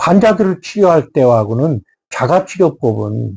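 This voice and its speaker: A somewhat breathy man's voice, dark and mellow in tone, at a fairly slow pace. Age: 70s. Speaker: doctor of Korean medicine. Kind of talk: health talk. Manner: formal; hesitant with fillers.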